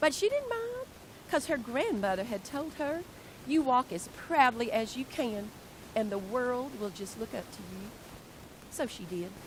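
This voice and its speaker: Noticeable background noise surrounds a high-pitched woman with lively intonation. Her loudness swings widely, and she takes long, frequent pauses. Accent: Southern US. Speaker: educator, workshop presenter. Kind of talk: reading aloud. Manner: animated.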